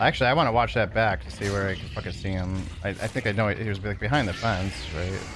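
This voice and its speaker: A man with a rather low voice races through his words while background noise is clearly audible. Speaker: video game streamer. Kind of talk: live gameplay stream chat. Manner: monotone.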